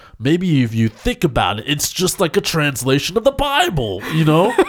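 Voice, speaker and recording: The speaker's tone is playful, at a moderate pace. The recording is very clean and the background silent. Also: man. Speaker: podcast host. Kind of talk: casual banter. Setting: studio. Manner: joking, playful.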